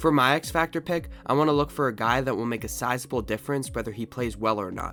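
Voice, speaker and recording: A man talks at a very fast pace with hardly any pauses, his medium pitch showing ordinary variation over music in the background. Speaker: sports content creator. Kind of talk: sports commentary talk to camera.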